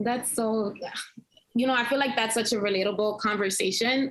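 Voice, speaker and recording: A woman with a fairly high pitch and an ordinary speaking voice talks at a fairly quick pace. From Dominican-American. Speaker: live stream host and journalist. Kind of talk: casual interview chat.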